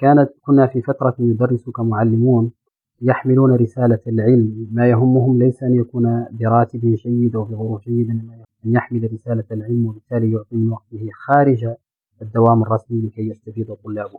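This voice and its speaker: A man speaks at medium pitch and a moderate pace in monotone, flat intonation. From Mauritania, Nouakchott. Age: 30s. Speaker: journalist and entrepreneur. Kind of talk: interview. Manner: formal.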